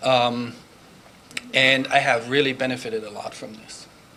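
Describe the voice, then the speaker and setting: A man's medium-pitched voice moves at a fairly slow pace. Noticeable background noise and audible room echo surround him. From Germany. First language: German. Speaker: language professor and department chair. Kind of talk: conference presentation.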